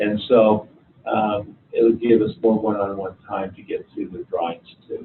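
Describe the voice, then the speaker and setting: With an unremarkable speaking voice, a man talks at a moderate pace with a medium pitch and fairly even intonation. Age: 60s. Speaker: college instructor. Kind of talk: lecture. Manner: casual.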